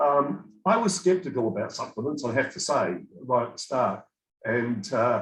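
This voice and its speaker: A man with a fairly high pitch speaks in a somewhat breathy voice, his pitch swinging very widely. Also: moderate pace. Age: 60s. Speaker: program participant giving testimonial. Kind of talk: testimony.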